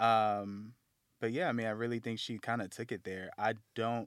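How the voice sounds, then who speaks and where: In a very clean recording with a silent background, a man with an American accent and medium pitch speaks at a moderate pace with fairly even intonation and long, frequent pauses. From United States. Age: 30s. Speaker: underwear brand founder. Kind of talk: casual chat.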